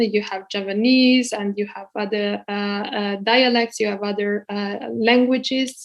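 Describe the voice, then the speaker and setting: A woman with a Hungarian accent at a fairly slow pace, against a quiet background. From Hungary. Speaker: guest lecturer. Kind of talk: lecture. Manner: hesitant, many fillers.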